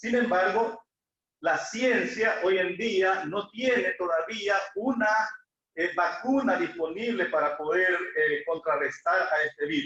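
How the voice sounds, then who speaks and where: At a very slow pace, a man projects his raised voice with very even loudness. His pitch is high and his intonation lively. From El Salvador. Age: 60s. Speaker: lay preacher. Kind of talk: sermon. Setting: church, livestreamed.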